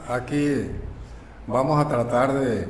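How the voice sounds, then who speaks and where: There is noticeable background noise. Audible room echo can be heard as well. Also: man. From Mexico, Baja California Sur. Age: 80s+. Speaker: local elder and foundry guide. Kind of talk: interview, personal storytelling.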